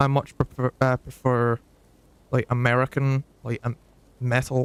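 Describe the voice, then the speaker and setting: A man with a Scottish accent, medium-pitched and flat in intonation, at a moderate pace, in a dry, close recording free of echo. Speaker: gaming streamer. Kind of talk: casual live stream chat. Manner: hesitant, many fillers.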